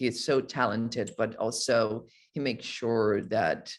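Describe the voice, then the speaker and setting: A man speaks in a Brazilian accent at a medium pitch. His pitch varies in an ordinary way against a quiet background. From Brazil, Rio de Janeiro. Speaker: actor. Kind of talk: interview. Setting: video call. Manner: halting, many repetitions.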